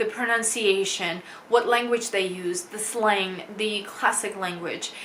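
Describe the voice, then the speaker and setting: A woman speaks very slowly in a Russian accent, her pitch fairly high and her intonation fairly even. Noticeable background noise sits behind her. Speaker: English teacher. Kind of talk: casual talk to camera.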